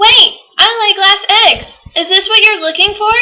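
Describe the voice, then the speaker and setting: A woman puts on a squeaky character voice at an extremely high pitch. Her voice is raised and projected. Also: moderate pace. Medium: read story.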